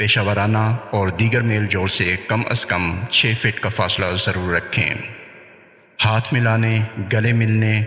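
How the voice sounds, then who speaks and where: The voice holds a very even loudness and a monotone, flat intonation over noticeable background noise. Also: man, fairly low pitch for a man. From Pakistan. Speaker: voice over artist and audio editor. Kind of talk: public service announcement.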